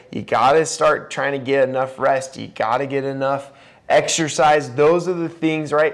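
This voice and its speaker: A man speaks loudly in a fairly high pitch. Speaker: podcast host. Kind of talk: podcast monologue.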